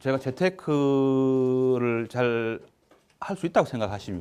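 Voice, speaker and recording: A man speaks with a Busan accent. His pace is very slow. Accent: Busan dialect (Gyeongsang). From Busan, South Korea. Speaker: asset management executive, finance lecturer. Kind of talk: public lecture. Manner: hesitant, many fillers.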